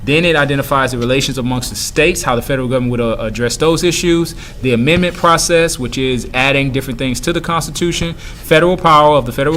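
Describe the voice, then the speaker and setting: Talking very fast with hardly any pauses, a medium-pitched man shows ordinary pitch variation amid noticeable background noise and audible room echo. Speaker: middle school teacher. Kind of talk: recorded review lesson. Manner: hesitant with fillers.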